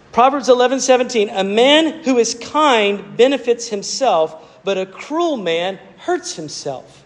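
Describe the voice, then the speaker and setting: A man speaks at an extremely high pitch with lively intonation. His pace is very slow, and there is noticeable background noise. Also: hardly any pauses. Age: 40s. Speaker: pastor. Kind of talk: sermon. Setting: church. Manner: halting, with frequent repeated words and fillers.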